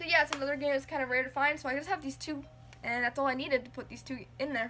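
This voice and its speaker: Against light background noise, a woman speaks in a raised, projected voice. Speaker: game collector vlogger. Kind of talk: casual vlog chat. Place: home room. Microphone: phone near.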